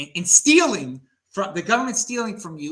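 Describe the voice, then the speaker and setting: Raised, projected male voice in an American accent, animated in tone, with very wide pitch swings at a fairly quick pace. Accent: strong Baltimore working-class. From Baltimore, US. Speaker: crypto show host. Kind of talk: casual panel chat.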